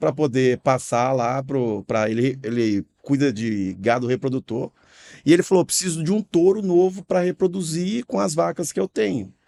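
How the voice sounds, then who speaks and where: A man speaks in a fairly high pitch with a dark, mellow tone and lively intonation. The recording is very clean, with a silent background and a dry, close sound with no echo. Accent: slight Minas Gerais. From Minas Gerais, Brazil. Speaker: franchise company director. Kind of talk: podcast discussion.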